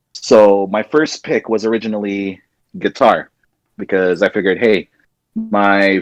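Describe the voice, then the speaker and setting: A man speaks at a fairly low pitch with fairly even intonation. The sound is dry and close, with no echo. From Ontario, Canada. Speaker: podcast co-host. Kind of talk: casual chat. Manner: loud.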